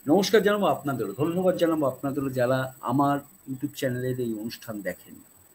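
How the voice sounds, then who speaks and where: A man's fairly high voice with lively intonation over light background noise. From Bengal. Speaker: YouTube channel host. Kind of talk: show intro and outro. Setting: live stream. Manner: formal, polite. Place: home room.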